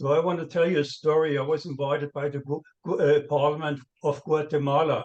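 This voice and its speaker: A man's monotone, flat delivery at a moderate pace. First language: not English. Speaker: panel speaker on money laundering. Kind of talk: seminar panel talk. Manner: halting, many fillers and restarts.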